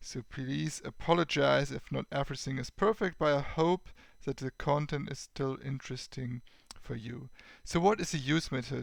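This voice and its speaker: A man with a German accent speaks in a fairly high pitch with vocal fry, on a very clean recording with a silent background. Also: ordinary pitch variation. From Germany. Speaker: tech YouTuber. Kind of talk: tutorial. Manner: slow; halting.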